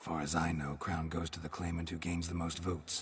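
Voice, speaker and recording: A man puts on a character voice with very deep, low pitch and monotone, flat intonation. He talks at a fairly quick pace over clear background noise. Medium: video game. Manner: terse, deadpan.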